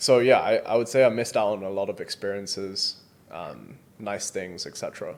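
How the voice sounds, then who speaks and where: A man's voice at a fairly quick pace, with big swings in loudness. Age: 20s. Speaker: entrepreneur. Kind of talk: interview. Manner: casual, hesitant with fillers.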